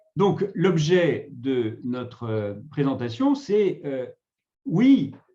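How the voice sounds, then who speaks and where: A man's fairly high, somewhat breathy voice moves through very wide pitch swings. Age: 60s. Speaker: retirement negotiation consultant, former HR director. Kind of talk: webinar presentation. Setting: online webinar.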